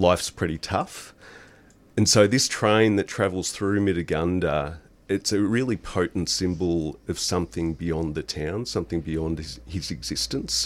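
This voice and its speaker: With vocal fry and lively intonation, a man with a very deep, low voice speaks at a fairly slow pace in a very clean recording with a silent background. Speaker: novelist. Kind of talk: radio interview about his book.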